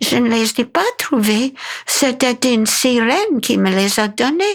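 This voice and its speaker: A woman's high, put-on character voice at a fairly slow pace, with very even loudness. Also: lively intonation. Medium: read story. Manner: earnest, plain.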